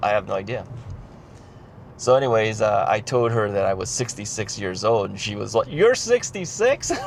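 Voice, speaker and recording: Fairly quick man's voice with an American accent amid noticeable background noise. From United States. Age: 60s. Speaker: retired vlogger. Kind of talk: casual vlog monologue. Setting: in a car. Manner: hesitant, many fillers.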